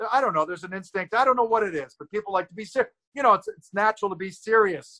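A very fast, raised and projected voice with ordinary pitch variation, a bright, sharp tone and a dry, close sound with no echo. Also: man. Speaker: comedian. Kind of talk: casual chat. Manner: fast talker.

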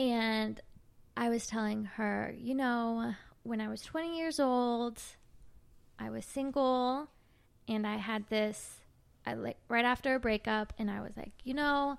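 The speech comes at a very slow pace in a very clean recording with a silent background. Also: woman. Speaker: podcast host. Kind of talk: casual chat.

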